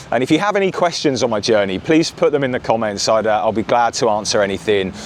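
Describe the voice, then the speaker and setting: A man with an English accent speaks very fast at a medium pitch, with lively intonation, very even loudness, and noticeable background noise. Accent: English, mostly retained. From southern England, Bournemouth. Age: 40s. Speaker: vlogger. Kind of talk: casual vlog talk to camera. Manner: hesitant, many fillers.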